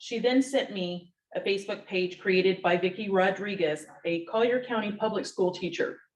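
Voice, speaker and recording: A woman talks in a normal speaking voice at a medium pitch. Her pace is moderate and her pitch variation ordinary. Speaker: tenant advocate. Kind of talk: reading aloud.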